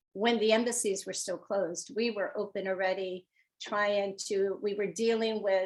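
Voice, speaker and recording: Over a quiet background, a woman with a medium pitch speaks at a moderate pace with fairly even intonation. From Newark, New Jersey, Portuguese immigrant community. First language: Portuguese. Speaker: honorary consul. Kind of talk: interview conversation. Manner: hesitant, many fillers.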